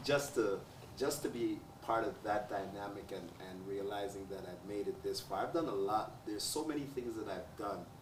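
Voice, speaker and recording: There is noticeable background noise and audible room echo. Through it, a man speaks at a fairly low pitch. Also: ordinary pitch variation, moderate pace. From Jamaica. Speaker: talk show host. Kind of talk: panel discussion.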